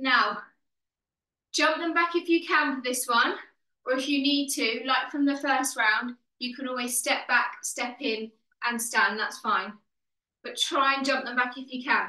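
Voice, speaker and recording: A woman's raised, projected voice, bright and sharp in tone, at a fairly slow pace with long, frequent pauses and audible room echo. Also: ordinary pitch variation. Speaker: fitness instructor. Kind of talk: workout instruction and counting. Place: home room. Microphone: video call.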